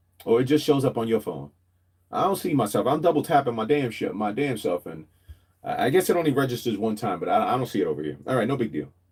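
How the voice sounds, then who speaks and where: Rushing at a very fast pace, a man speaks with vocal fry and very wide pitch swings. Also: medium pitch for a man. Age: 40s. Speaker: livestreamer. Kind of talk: casual chat. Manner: animated.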